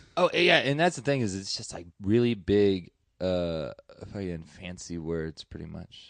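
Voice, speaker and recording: With an American accent, a man speaks fairly slowly at a fairly low pitch, his intonation lively and his loudness swinging widely. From Deep South Texas, Rio Grande Valley. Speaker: stand-up comedian. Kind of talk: casual chat. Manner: halting, many fillers.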